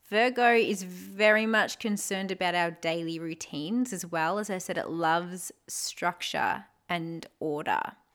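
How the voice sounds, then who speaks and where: A woman with an Australian accent, medium pitch and a warm tone, at a fairly slow pace. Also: ordinary pitch variation. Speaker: podcast host, spirituality and astrology. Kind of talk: solo podcast talk on astrology. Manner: casual, warm, with laughter.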